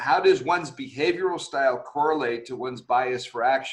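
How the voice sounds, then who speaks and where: At a fairly quick pace, a man speaks in an unremarkable speaking voice with ordinary pitch variation. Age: 60s. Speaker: executive coach and webinar host. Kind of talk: online leadership webinar discussion.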